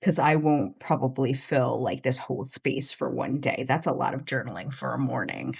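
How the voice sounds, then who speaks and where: A woman's very deep, low voice with vocal fry, ordinary pitch variation, a moderate pace and hardly any pauses. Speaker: journaling YouTuber. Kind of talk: casual video talk. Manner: animated.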